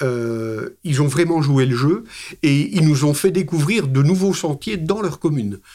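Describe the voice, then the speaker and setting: Dark, mellow tones from a man, with ordinary pitch variation. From Belgium. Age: 60s. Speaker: hiking club president. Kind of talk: interview. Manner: hesitant, many fillers.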